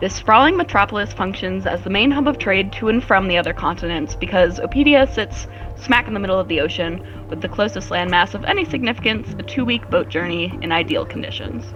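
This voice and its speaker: A woman speaks very fast. Background music plays behind her voice. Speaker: tabletop game master. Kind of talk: fantasy narration for tabletop roleplay. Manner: shaky, sounds close to crying when nervous.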